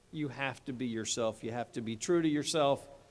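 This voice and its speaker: Here a man with a New York accent is heard in a very clean recording with a silent background. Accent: sounds like New York. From Delaware area, US. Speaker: state attorney general, commencement speaker. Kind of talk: commencement speech. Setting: stage with audience in an athletic center.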